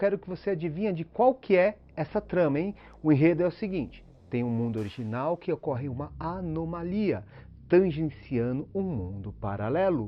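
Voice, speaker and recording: A man's fairly high voice moves at a moderate speed, swinging very widely in pitch. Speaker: YouTuber explaining films and philosophy. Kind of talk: scripted video commentary. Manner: casual, conversational.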